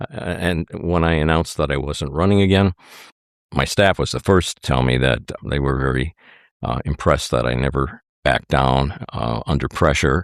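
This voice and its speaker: With an Upper Midwest accent and vocal fry, a man speaks at a very deep, low pitch and a moderate pace with ordinary pitch variation, his sound dry and close with no echo on a very clean recording over a silent background. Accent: Upper Midwest American. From Wisconsin (Hartford). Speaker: former state legislator. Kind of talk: interview.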